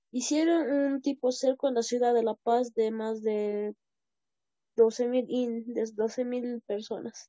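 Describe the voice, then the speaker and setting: Against a quiet background with a dry sound and no echo, a woman talks very slowly at a high pitch with fairly even intonation. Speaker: student. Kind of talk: classroom answers. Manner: hesitant. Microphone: video call.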